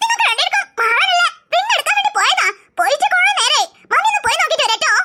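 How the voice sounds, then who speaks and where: In a cartoonish character voice, a woman sounds squeaky and extremely high-pitched, with lively intonation and very even loudness. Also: fairly quick pace. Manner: gushing, sugary.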